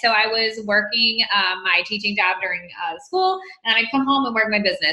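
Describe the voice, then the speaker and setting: An animated woman with an American accent, fairly high-pitched, at a moderate pace with ordinary pitch variation and audible room echo. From US South, Mississippi. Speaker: fitness business coach. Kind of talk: motivational team talk. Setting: team conference call.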